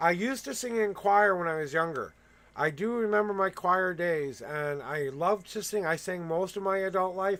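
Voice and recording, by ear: With a fairly bright tone and a high pitch, a man talks at a moderate pace with ordinary pitch variation.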